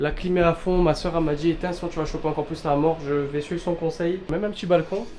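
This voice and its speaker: At a moderate pace, a man talks with a high pitch. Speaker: travel vlogger. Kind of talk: travel vlog. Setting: outdoors in desert. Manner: quiet speech.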